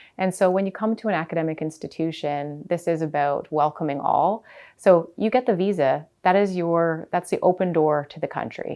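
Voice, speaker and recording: A woman with a Canadian accent has a normal speaking voice. Her pitch is fairly low, with ordinary pitch variation. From Canada. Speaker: college president. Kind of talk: interview.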